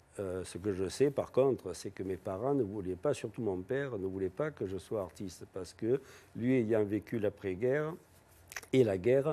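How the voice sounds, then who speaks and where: Here a man talks at a moderate pace with ordinary pitch variation. His tone is dark and mellow. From southern France, Avignon. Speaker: painter and sculptor. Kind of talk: TV interview. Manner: hesitant, with frequent fillers.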